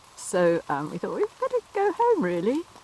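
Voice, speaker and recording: This is a woman's voice. Noticeable background noise runs behind it. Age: 70s. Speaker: environmental campaigner, charity walker. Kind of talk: casual talk to camera. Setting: outdoors.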